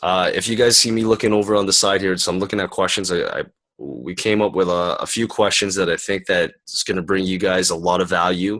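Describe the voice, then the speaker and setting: A man with a Canadian accent and a plain, everyday voice speaks at a fairly quick pace, his fairly low pitch showing ordinary pitch variation. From Canada. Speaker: summit interview host. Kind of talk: online interview. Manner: casual.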